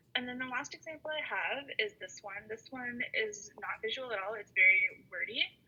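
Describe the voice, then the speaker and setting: A woman speaks over noticeable background noise. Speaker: workshop presenter. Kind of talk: online workshop presentation. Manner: fast; hesitant, many fillers.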